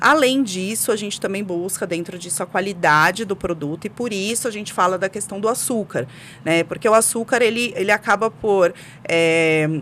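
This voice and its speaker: A woman's medium-pitched voice with a São Paulo accent. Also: ordinary pitch variation, moderate pace. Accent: São Paulo accent, noticeable. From São Paulo, Brazil. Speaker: specialty coffee expert. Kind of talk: podcast interview.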